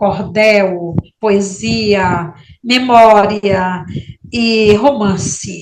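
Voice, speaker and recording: Very slow speech with audible echo from the room. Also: woman. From Maranhão, northeastern Brazil. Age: 60s. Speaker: writer. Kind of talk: interview. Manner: halting.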